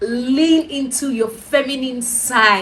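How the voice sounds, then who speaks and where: Speaking at a very slow pace, a woman with a Nigerian accent uses a high pitch. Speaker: lifestyle vlogger. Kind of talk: casual advice talk to camera. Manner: soft-spoken.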